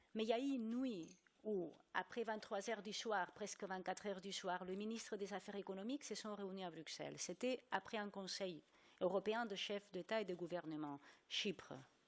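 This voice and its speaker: A woman with a non-native accent, at a moderate pace, with ordinary pitch variation. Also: medium pitch for a woman. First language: not French (speaking French). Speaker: journalist, EU correspondent. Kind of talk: panel debate. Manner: animated.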